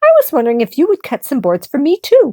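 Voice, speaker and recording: Putting on a character voice, a woman talks at a very fast pace in a high pitch. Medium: read story. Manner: polite, sweet.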